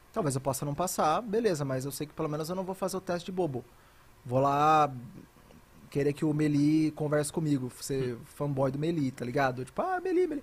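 Somewhat breathy, a man with a fairly high pitch talks at a fairly quick pace with ordinary pitch variation. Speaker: esports caster. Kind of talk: casual chat.

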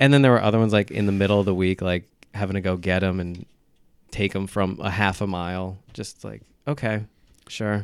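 In a plain, everyday voice, a man with an American accent speaks at a fairly quick pace, his pitch fairly low and his intonation fairly even, on a very clean recording with a silent background. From Orange County, New York. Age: 30s. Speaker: stand-up comedian. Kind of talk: casual chat.

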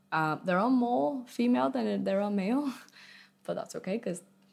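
A woman speaks with a Vietnamese accent at a moderate pace. Her pitch swings very widely. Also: long, frequent pauses. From Vietnam and England (boarding school from age nine). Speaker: arts community project founder. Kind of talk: casual interview. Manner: hesitant, many fillers.

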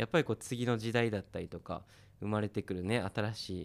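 On a very clean recording with a silent background, a man talks at a moderate pace and a fairly low pitch. He has a plain, everyday voice with fairly even intonation. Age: 30s. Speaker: musician and radio host. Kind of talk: casual interview chat.

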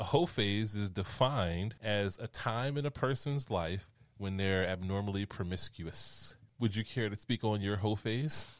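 A man talks in a plain, everyday voice with a fairly low pitch. The recording is very clean, with a silent background. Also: ordinary pitch variation, moderate pace. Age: 40s. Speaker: podcast host. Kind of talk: casual interview chat.

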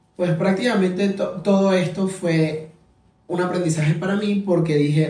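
Dark, mellow male voice at a moderate pace amid audible room echo. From Venezuela. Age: 20s. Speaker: podcast host. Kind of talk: casual monologue. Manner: halting.

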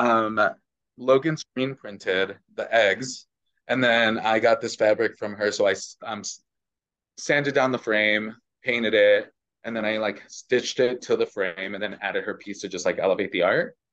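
A normal speaking voice, a man's, medium in pitch with an American accent, fairly even intonation and a moderate pace against a quiet background. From Chicago, US. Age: 30s. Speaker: poet and artist. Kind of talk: casual chat.

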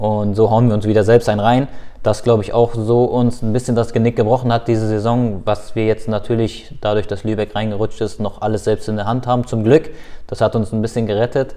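Here a man speaks in a dark, mellow tone with monotone, flat intonation. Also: medium pitch for a man, fairly quick pace. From Lower Saxony, Germany (Hildesheim/Hannover). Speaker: professional footballer. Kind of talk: casual interview.

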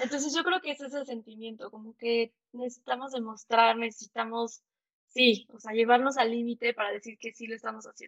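A normal speaking voice from a woman, fairly high in pitch, fairly quick in pace, with fairly even intonation. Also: big swings in loudness. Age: 30s. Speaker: entrepreneur. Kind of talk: interview.

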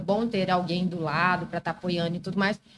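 A woman at a very fast pace. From Brazil, Mato Grosso (Várzea Grande). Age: 30s. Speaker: lawyer. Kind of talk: casual chat.

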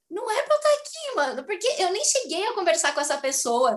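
Against noticeable background noise, a woman's voice swings very widely in pitch. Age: 20s. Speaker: actress and dance teacher. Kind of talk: casual chat.

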